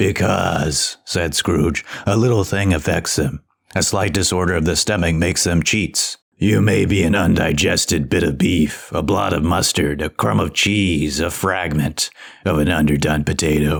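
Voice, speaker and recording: A man puts on a character voice with a very deep, low pitch. He talks at a moderate pace. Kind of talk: audiobook reading of classic literature.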